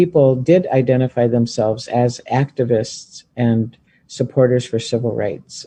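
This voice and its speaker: Speaking at a fairly slow pace, a man with a medium pitch has a dark, mellow tone that is somewhat breathy. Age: 60s. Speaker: former student, Native community member. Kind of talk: interview testimony.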